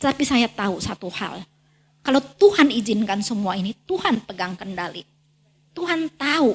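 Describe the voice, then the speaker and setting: A woman's fairly high voice makes very wide pitch swings as she talks at a moderate pace. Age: 60s. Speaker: guest preacher. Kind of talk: sermon.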